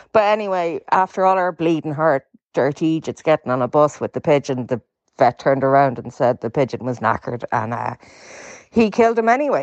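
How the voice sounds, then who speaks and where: This voice carries an Irish accent. The pace is fairly quick. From west of Ireland. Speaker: caller. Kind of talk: voice note story.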